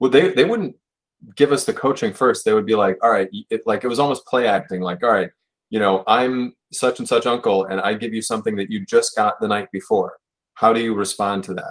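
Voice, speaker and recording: A man talks with a Buffalo accent. His pace is fairly quick. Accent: Western New York (Buffalo) American. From Buffalo, New York. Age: 30s. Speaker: writer and publisher. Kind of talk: casual interview.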